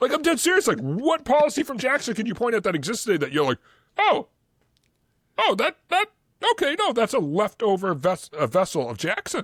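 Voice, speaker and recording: Loud and animated, a man with a Boston accent speaks at a fairly quick pace in a high voice with very wide pitch swings. The recording is very clean with a silent background, and the sound is dry and close with no echo. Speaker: history podcast co-host. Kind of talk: casual chat. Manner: loud, animated; fast, filler-heavy.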